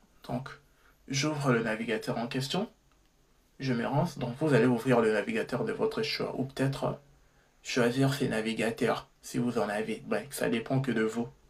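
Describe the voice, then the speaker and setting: Speaking at a medium pitch, a man sounds somewhat breathy, going at a fairly slow pace with long, frequent pauses. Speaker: tech tutorial youtuber. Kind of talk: tutorial. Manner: halting, frequent self-corrections.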